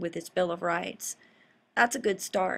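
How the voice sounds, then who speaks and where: A woman speaks in a Southern US accent at a medium pitch. The recording is very clean, with a silent background. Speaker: political commentary vlogger, law school graduate. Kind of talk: casual monologue commentary. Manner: rambling, unscripted.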